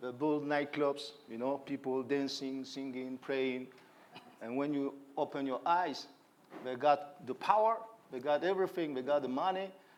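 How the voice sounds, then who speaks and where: A man with a West African accent talks at a fairly high pitch. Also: ordinary pitch variation, moderate pace. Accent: French-speaking West African. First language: French. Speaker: hip-hop artist and activist. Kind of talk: panel interview. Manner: halting.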